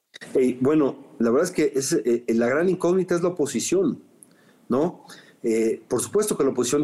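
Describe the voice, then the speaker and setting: A man speaks with a Mexican accent in a dark, mellow tone. His intonation is lively and his pace moderate. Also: very even loudness. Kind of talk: interview. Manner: halting, with many fillers and repetitions.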